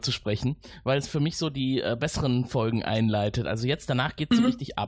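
The man talks with ordinary pitch variation. His voice rests at a medium pitch. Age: 40s. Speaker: podcast host. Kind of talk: casual interview.

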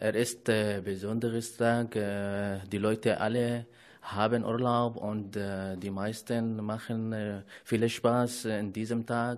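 In an Arabic accent, a man speaks at a very slow pace with monotone, flat intonation against a quiet background. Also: medium pitch for a man. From Syria, Aleppo. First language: Arabic (speaking German). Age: 20s. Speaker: refugee. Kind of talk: casual chat. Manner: halting.

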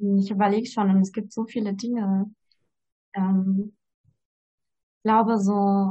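This woman's voice sits at medium pitch, somewhat breathy and monotone, with flat intonation. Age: 20s. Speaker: student. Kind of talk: casual interview chat.

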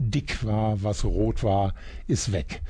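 Here a man's voice carries a dark, mellow tone and lively intonation. He talks at a very slow pace. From Germany, Iserlohn (Sauerland). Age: 60s. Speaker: retired journalist. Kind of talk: radio interview. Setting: radio studio.

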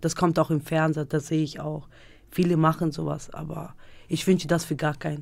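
A woman's very deep, low voice with monotone, flat intonation. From Germany (Münster), born in Kosovo. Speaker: Roma dance teacher and mother. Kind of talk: interview. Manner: halting.

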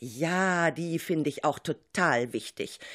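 Speaking very slowly at a fairly low pitch, a woman swings her pitch very widely on a very clean recording with a silent background. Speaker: radio show host and teacher. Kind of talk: radio moderation and narration.

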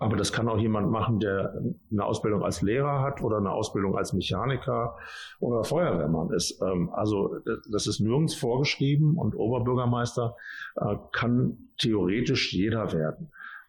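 A somewhat breathy man's voice at medium pitch, with very even loudness, lively intonation and a moderate pace. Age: 50s. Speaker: mayor. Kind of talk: interview with children. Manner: casual, with fillers.

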